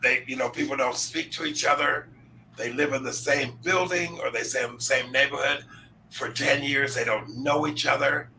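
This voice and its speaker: Over noticeable background noise, a man with a fairly high pitch and fairly even intonation talks at a moderate pace. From upstate New York. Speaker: talk show host. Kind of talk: interview. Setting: live stream.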